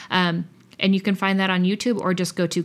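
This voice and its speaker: A woman with an American accent, medium pitch and monotone, flat intonation, on a very clean recording with a silent background. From Kentucky, then Boston area from age six. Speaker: musician. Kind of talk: interview.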